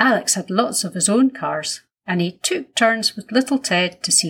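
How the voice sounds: Quiet background behind a natural reading voice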